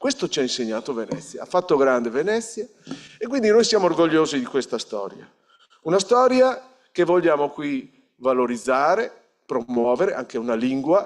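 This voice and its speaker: At a moderate pace, a man talks in a fairly high pitch with very wide pitch swings. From northern Italy, Polesine (Veneto, near the Po). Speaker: regional politician. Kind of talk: ceremony speech. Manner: halting, with frequent self-corrections.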